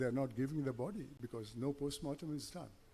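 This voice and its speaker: A man speaks at a medium pitch with a dark, mellow tone. His delivery is fairly quick and somewhat breathy. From India, Mangalore. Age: 80s+. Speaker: chief guest speaker. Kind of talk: public speech.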